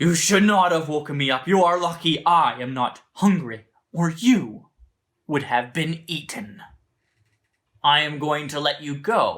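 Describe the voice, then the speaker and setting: Putting on a character voice with a fairly high pitch, a man speaks at a fairly slow pace. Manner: grumpy, then magnanimous.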